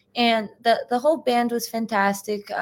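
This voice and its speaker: In a plain, everyday voice, a woman with an American accent speaks at a moderate pace, with fairly high pitch and fairly even intonation. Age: 20s. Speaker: bassist and singer. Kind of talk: casual interview.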